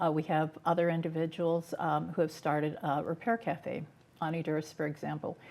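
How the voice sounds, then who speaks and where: A woman speaks with an American accent at a very deep, low pitch, with vocal fry. Her intonation is fairly even. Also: moderate pace. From West Sacramento, California. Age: 60s. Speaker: city council member and candidate. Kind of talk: interview.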